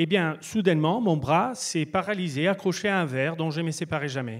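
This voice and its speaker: A man's fairly high voice with ordinary pitch variation at a fairly slow pace, on a very clean recording with a silent background. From Italy. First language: Italian (speaking French). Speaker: speaker. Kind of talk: stage talk. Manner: halting.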